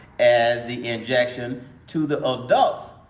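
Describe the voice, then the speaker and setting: There is audible room echo as a man speaks with a Mississippi accent. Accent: US Southern (Mississippi). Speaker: doctor. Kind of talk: lecture. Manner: repetitive, emphatic.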